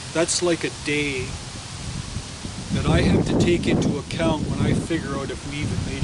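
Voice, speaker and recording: Through audible room echo and noticeable background noise, a man speaks with lively intonation. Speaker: mason and toolmaker. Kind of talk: tutorial. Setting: outdoors. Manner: loud; halting.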